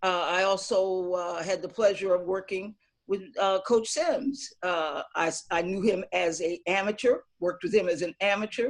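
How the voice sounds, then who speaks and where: With an unremarkable speaking voice, a woman talks at a moderate pace. Her pitch is medium, with ordinary pitch variation. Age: 60s. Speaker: boxing coach. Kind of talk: panel discussion introduction.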